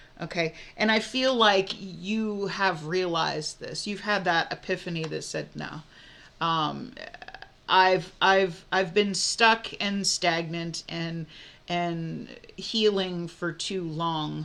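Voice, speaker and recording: With an American accent, a woman speaks very slowly at a fairly low pitch, in a bright, sharp tone with fairly even intonation. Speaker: tarot reader. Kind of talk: tarot reading. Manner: casual, halting with fillers.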